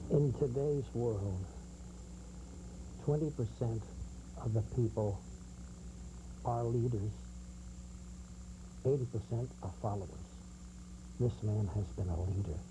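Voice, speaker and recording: A man speaks fairly slowly with vocal fry and long, frequent pauses. His fairly low pitch swings very widely. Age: 80s+. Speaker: retired TV and radio announcer. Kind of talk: interview.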